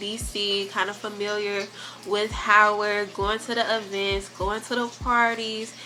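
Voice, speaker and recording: A woman speaks at a fairly slow pace with a fairly high pitch. Her intonation is monotone and flat. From US Midwest, Gary, Indiana. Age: 20s. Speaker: YouTuber, college student. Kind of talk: casual chat.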